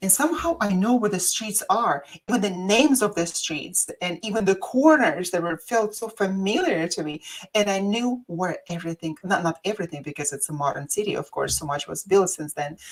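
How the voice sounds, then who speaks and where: Speaking fairly quickly with lively intonation, a woman with a non-native accent talks at medium pitch. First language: not English. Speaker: radio co-host and past life regression practitioner. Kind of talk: radio talk show discussion. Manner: halting, many fillers.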